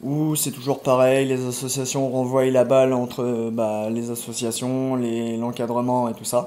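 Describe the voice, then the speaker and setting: Over noticeable background noise, a man speaks at a fairly slow pace in a medium-pitched, monotone, flat delivery. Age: 20s. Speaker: homeless person. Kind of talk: testimony. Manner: halting.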